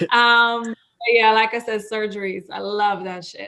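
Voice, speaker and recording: At a fairly slow pace, a woman with a non-native accent speaks in a monotone, flat intonation with a fairly high pitch and a bright, sharp tone. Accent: foreign. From Israel, Russian immigrant parents. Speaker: cosmetic surgery clinic worker. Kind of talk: podcast interview. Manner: casual, swears.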